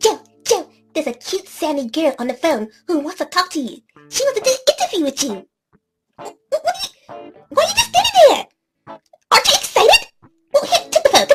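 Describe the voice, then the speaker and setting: Over music in the background, a squeaky put-on character voice speaks with long, frequent pauses. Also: moderate pace. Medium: audio drama. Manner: theatrical, sassy, gushing.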